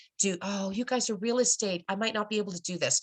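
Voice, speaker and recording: At a fairly quick pace, a woman speaks at medium pitch. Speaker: social media marketing presenter. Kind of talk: webinar presentation. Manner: fast.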